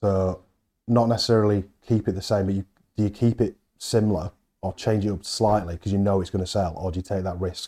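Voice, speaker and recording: A man with a Yorkshire accent speaks fairly quickly in a fairly low, dark, mellow tone with fairly even intonation. The recording is very clean and the background silent. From Halifax, West Yorkshire. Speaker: head chef. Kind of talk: casual chat. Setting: on location at a hotel.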